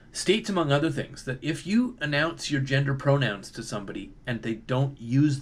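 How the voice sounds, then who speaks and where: Somewhat breathy, the speaker talks at a moderate pace with a Canadian accent. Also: man. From Canada. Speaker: video commentator. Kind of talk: monologue commentary. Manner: casual, hesitant with fillers.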